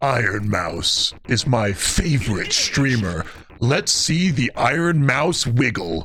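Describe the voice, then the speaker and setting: Over clear background noise, a man puts on a character voice at a medium pitch, moving at a fairly slow pace with very wide pitch swings but very even loudness. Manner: creepy, eerie.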